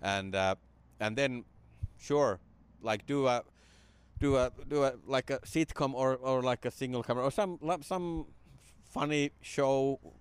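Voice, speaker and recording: A man of medium pitch with ordinary pitch variation, a fairly slow pace, and long, frequent pauses, in a dry, close sound with no echo. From Finland; Jyväskylä, Finland. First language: Finnish. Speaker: comedian. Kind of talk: casual podcast interview.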